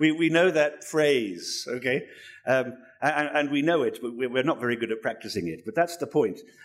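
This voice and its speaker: Lively intonation and vocal fry mark this man's fairly high voice. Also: moderate pace. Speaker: preacher. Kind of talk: sermon. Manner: halting.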